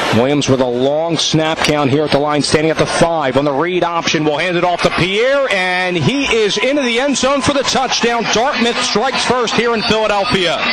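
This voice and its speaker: A man's high-pitched voice at a moderate pace, with very wide pitch swings and hardly any pauses, over noticeable background noise. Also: very even loudness. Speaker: play-by-play announcer. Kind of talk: radio sports play-by-play.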